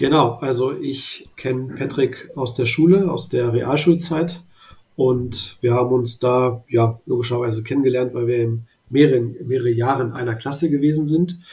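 This man's voice sits at a medium pitch. His tone is dark and mellow, and somewhat breathy. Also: fairly even intonation, moderate pace. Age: 30s. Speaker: finance content creator. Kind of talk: interview.

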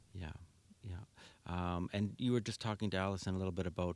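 A man with a Canadian Prairie accent speaks with a very deep, low pitch. The recording is very clean, with a silent background. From Winnipeg, Manitoba, Canada. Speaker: seismic home retrofit business owner. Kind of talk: radio interview. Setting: radio studio.

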